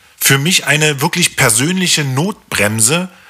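A man's fairly high voice moves with lively intonation at a moderate pace while noticeable background noise carries on behind him. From East Berlin (Hohenschönhausen), East Germany. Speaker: podcast host. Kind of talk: solo podcast monologue.

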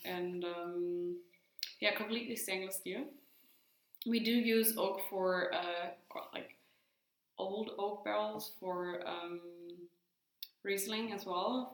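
In a German accent, the speech moves at a very slow pace with fairly even intonation, long and frequent pauses, and audible room echo. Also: woman, medium pitch for a woman. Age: young. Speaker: winemaker. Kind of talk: casual interview. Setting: winery tasting room.

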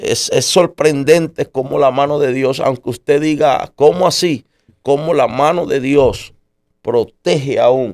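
A man's normal speaking voice, at a fairly slow pace with ordinary pitch variation. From Puerto Rico. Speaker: pastor. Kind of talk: testimony.

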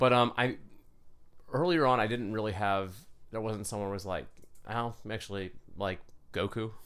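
With long, frequent pauses, a man speaks at a moderate pace in a fairly low pitch with ordinary pitch variation. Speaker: podcast guest, fitness enthusiast. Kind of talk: casual chat.

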